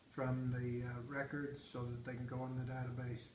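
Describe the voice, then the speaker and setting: Noticeable background noise and audible room echo fill the recording. A man talks at a moderate pace through them. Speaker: retired grandfather interviewed by family. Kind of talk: casual family interview.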